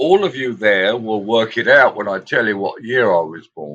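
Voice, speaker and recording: A man with a British accent and a bright, sharp tone, medium pitch and very wide pitch swings over a quiet background. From England. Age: 70s. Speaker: musician. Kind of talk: casual interview chat.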